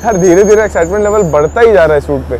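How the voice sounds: Over faint background noise, a man talks at a very fast pace with a high pitch and a slightly mellow tone. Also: ordinary pitch variation.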